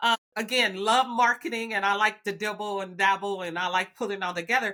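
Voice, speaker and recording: Bright and sharp in tone, a woman with a Southern US accent talks at a fairly quick pace in a medium pitch with fairly even intonation. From US South, Alabama. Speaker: biotech executive. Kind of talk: podcast interview.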